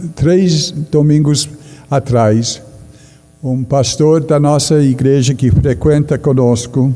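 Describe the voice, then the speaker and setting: Music plays behind a man speaking very slowly with a non-native accent. His voice is fairly high, with ordinary pitch variation. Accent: noticeable foreign accent in Portuguese. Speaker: pastor. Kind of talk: sermon.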